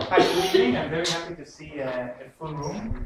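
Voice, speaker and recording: Male speech amid noticeable background noise, the room's echo audible. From Israel. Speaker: political economist. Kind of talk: lecture. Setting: lecture room with audience. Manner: halting, many fillers; deliberately slow and clear.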